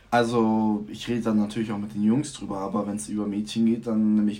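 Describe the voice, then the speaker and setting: With noticeable background noise behind him, a man with a fairly low pitch rattles along at a very fast pace with fairly even intonation and hardly any pauses. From Germany. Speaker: student. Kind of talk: casual chat.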